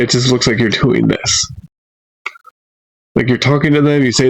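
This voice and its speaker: A man's medium-pitched voice carries fairly even intonation. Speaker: magic tutorial creator. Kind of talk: tutorial. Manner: slow.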